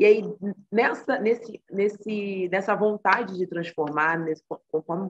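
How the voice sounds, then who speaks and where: A woman speaks in an ordinary speaking voice at medium pitch. Her pace is moderate. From Brazil, Rio de Janeiro (Baixada Fluminense). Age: 20s. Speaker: psychology student and mental health project co-founder. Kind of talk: interview conversation.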